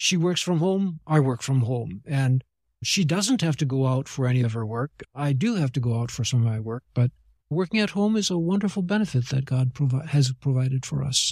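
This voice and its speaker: Lively intonation marks this man's medium-pitched, somewhat breathy voice. He speaks at a fairly quick pace. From Japan. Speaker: missionary pastor and theologian. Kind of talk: interview conversation.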